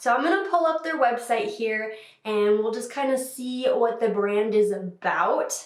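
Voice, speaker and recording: Amid noticeable background noise and audible room echo, a woman talks at a moderate pace in a high pitch with lively intonation. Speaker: makeup youtuber. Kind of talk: tutorial. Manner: casual, chatty.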